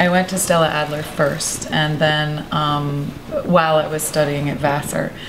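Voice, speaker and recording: A woman with an American accent speaks at a very deep, low pitch and a fairly slow pace. Noticeable background noise runs underneath. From New England, USA. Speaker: actress. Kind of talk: interview answer. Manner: casual, conversational.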